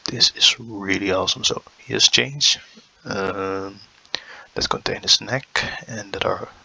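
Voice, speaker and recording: At a fairly slow pace, a man speaks over noticeable background noise. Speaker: youtuber reacting to cartoon trailers. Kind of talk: casual commentary.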